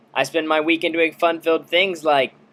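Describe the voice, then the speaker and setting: Loud and fairly high-pitched, a man speaks with a bright, sharp tone. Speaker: video blogger. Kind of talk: casual vlog storytelling.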